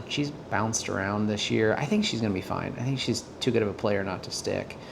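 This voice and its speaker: A man talks quietly in a fairly low pitch. The room echo is audible, and there is noticeable background noise. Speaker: sports card dealer and collector. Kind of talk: casual vlog, mail unboxing. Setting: at home late at night. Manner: quiet, keeping voice down; hesitant, many fillers.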